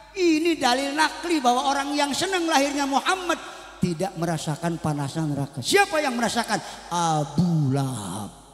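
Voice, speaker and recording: A man's extremely high voice at a moderate pace, with very wide pitch swings and noticeable background noise. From West Java, Karawang. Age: 60s. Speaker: preacher. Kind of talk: religious sermon. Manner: animated.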